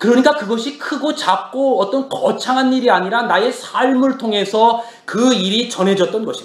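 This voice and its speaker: At a moderate pace, a man talks in an extremely high pitch over noticeable background noise. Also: ordinary pitch variation, hardly any pauses. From Korea, Chungcheong province. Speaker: pastor. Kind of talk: sermon. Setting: church.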